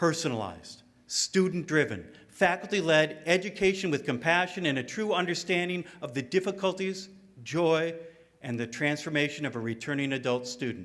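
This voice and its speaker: With an American accent and an unremarkable speaking voice, the speaker talks at a moderate pace in lively intonation. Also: man. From Tucson, Arizona, USA (from Michigan). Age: 50s. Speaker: student commencement speaker. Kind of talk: graduation speech.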